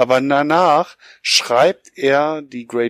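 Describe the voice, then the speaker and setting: In a very clean recording with a silent background, a man's fairly high voice has ordinary pitch variation and a dry, close sound with no echo. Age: 40s. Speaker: podcast co-host. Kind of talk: casual chat.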